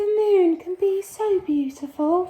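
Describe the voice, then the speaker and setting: In a put-on character voice, a woman squeaks along at a fairly slow pace with an extremely high pitch. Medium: read story.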